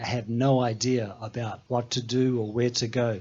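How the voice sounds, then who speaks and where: A moderately paced male speaker with a New Zealand accent. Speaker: mountain trekker and former safari guide. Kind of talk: talk show interview.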